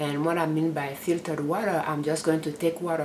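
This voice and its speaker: A woman's very deep, low voice holds a fairly even intonation while noticeable background noise plays behind it. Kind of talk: tutorial. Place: kitchen. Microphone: phone near.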